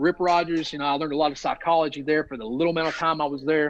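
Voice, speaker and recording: A man with a Southern US accent speaks in a fairly high pitch. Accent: noticeable Southern US. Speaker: professional wrestler. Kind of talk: podcast interview. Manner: long-winded storytelling.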